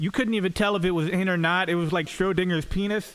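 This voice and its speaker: A man's high voice with fairly even intonation and an American accent, over noticeable background noise. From Florida, US. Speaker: stand-up comedian. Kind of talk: stand-up. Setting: stage with audience.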